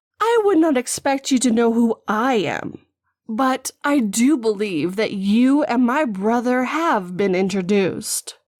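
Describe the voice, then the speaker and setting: A woman's put-on character voice, fairly high in pitch and fairly slow in pace, on a very clean recording with a silent background. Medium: audio drama. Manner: mocking, measured, menacing.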